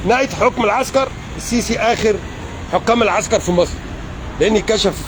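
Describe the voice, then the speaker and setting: Amid crowd noise in the background, a man with an Egyptian accent speaks at a fairly slow pace in an animated tone, with ordinary pitch variation. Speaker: political commentator. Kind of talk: political rant. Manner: loud.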